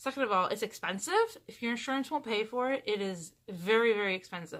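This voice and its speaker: A woman with a normal speaking voice, fairly high in pitch, talks at a moderate pace with ordinary pitch variation. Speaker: vlogger. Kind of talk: casual vlog update.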